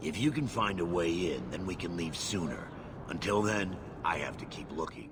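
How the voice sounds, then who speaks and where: In a put-on character voice, a man speaks with a very deep, low pitch and a gruff sound. The pace is moderate, with clear background noise. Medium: video game. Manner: gruff, suspicious.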